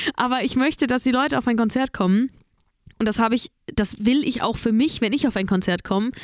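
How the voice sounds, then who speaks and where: A normal speaking voice from a woman, fairly high in pitch and fairly quick, with ordinary pitch variation and very even loudness, on a very clean recording with a silent background. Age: 20s. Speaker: singer. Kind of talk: casual chat.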